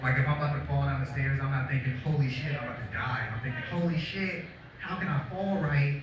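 Strong room echo and noticeable background noise fill the recording. A man speaks at a fairly quick pace with ordinary pitch variation. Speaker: stand-up comedian. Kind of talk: stand-up comedy routine. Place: cafe. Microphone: camera far.

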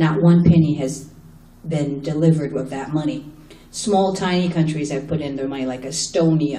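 There is audible room echo. A woman speaks at a very deep, low pitch. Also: fairly even intonation, moderate pace. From Haiti-born, raised in the US. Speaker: human rights attorney and activist; human rights attorney. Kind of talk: panel talk. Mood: impassioned, critical. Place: hall.

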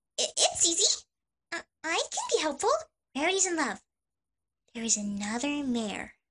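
In a put-on character voice, the speaker uses a high pitch with very wide pitch swings and long, frequent pauses. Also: moderate pace. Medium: dub.

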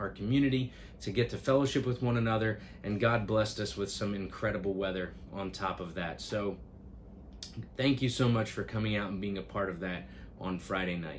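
A man talks at a fairly quick pace in a fairly low pitch with ordinary pitch variation. Light background noise is present. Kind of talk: announcement vlog to families. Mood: warm, grateful. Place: office.

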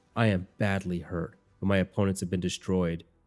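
Against music in the background, a man with a very deep, low pitch delivers an intense, theatrical tone at a fairly quick pace, yet his intonation stays monotone and flat. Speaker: audiobook narrator. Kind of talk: dramatic audiobook narration.

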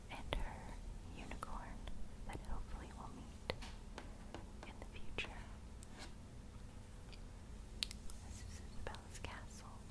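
The speaker whispers, soft-spoken and fairly slow. Long, frequent pauses break up the speech. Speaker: storybook reader. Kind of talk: read-aloud storytelling with commentary. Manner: soft ASMR whisper describing a book. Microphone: phone near.

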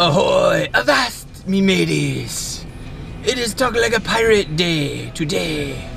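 A man puts on a character voice, delivering it fairly slowly while clear background noise runs behind him. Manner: jovial, exaggerated.

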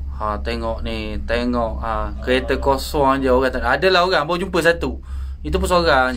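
There is light noise in the background. A man talks at a moderate speed. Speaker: tourist filming the ride. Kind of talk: casual vlog commentary. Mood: relaxed, briefly awed by height. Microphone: phone near.

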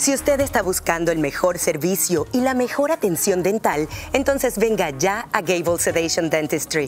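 With music in the background, the speech runs on with hardly any pauses. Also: moderate pace. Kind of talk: TV commercial read.

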